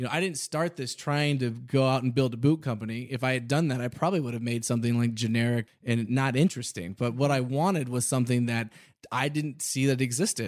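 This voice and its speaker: In an unremarkable speaking voice at medium pitch, a man talks at a fairly quick pace with ordinary pitch variation and hardly any pauses, on a very clean recording with a silent background. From Texas, Houston. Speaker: boot company founder. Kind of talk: interview. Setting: studio.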